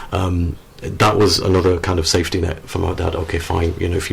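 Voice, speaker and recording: Over noticeable background noise, a man with a very deep, low voice talks at a very fast pace. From northern England, Sheffield, Yorkshire. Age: 40s. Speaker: author. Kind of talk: radio interview. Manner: halting.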